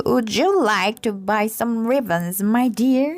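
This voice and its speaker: A woman puts on a character voice, speaking at a fairly high pitch and a fairly slow pace. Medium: read story. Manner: scheming.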